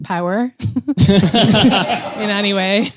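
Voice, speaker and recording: A woman speaks at a medium pitch with ordinary pitch variation and an Irish accent. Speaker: comedian and writer. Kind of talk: casual chat.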